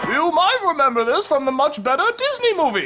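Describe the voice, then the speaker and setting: A high, put-on character voice speaks at a fairly quick pace over clear background noise. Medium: comedy sketch. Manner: deadpan.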